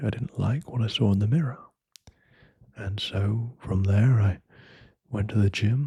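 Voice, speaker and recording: A man talks in a dark, mellow, somewhat breathy voice. His pitch varies in an ordinary way. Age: young. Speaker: ASMR creator. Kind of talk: ASMR talk to listener. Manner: soft-spoken, slow.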